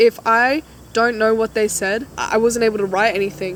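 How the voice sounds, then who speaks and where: A woman with an Australian accent speaks at a moderate pace, her pitch fairly high with ordinary variation. Noticeable background noise runs underneath. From Australia, Queensland. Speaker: vlogger. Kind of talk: casual chat. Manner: animated.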